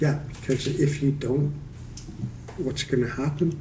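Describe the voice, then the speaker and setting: A man with a Canadian accent speaks at a fairly slow pace in a fairly high pitch, his tone dark, mellow and somewhat breathy. His intonation is fairly even, and the room echo is audible. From Canada, Toronto. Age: 60s. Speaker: mental health advocate, recovering alcoholic. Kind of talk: casual interview.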